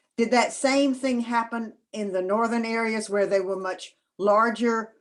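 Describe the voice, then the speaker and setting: A woman speaks with a Southern US accent on a very clean recording with a silent background. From US South. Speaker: audience member. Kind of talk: Q&A question.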